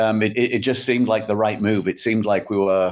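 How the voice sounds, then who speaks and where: A man's very fast, fairly low voice, monotone and flat, over a quiet background. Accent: English. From England. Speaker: tech company CEO. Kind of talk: podcast interview.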